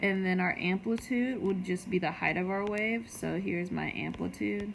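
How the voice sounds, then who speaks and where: A woman at a medium pitch can be heard with noticeable background noise behind her. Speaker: middle school science teacher. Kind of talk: recorded lecture for students. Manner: casual, filler-heavy.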